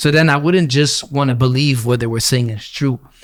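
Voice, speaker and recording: Speaking in a Quebec accent, a man keeps his medium-pitched voice at a fairly even intonation. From Quebec (Gatineau). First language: French. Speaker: rapper. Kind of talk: casual chat.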